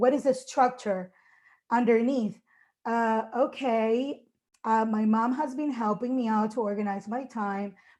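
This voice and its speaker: A woman speaks at a fairly slow pace with a fairly high pitch. She has a normal speaking voice, and the background is quiet. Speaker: English teacher. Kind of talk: conference presentation.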